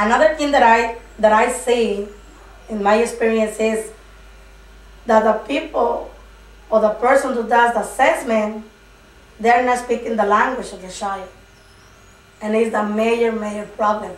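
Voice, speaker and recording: A woman with a Spanish accent talks at a fairly high pitch with fairly even intonation and long, frequent pauses, over noticeable background noise and audible room echo. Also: moderate pace, big swings in loudness. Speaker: preschool migrant teacher. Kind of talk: interview. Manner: halting.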